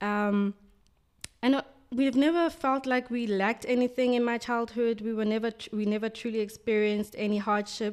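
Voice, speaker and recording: With a South African accent, a woman talks at a fairly quick pace and a fairly high pitch, with ordinary pitch variation. Her recording is very clean, the background silent. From South Africa, Soweto. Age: 20s. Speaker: magazine art director. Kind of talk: interview.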